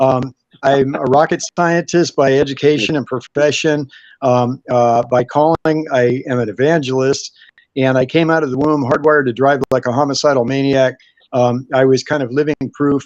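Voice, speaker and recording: A man with a normal speaking voice, medium pitch, fairly even intonation and a moderate pace, in a dry, close sound with no echo. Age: 60s. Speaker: evangelist. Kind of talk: interview.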